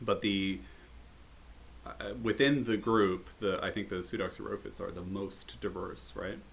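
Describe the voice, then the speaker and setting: With an American accent, a man speaks at a fairly slow pace in a fairly low pitch, showing vocal fry and very wide pitch swings. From United States. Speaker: herpetologist and podcast host. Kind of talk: casual chat.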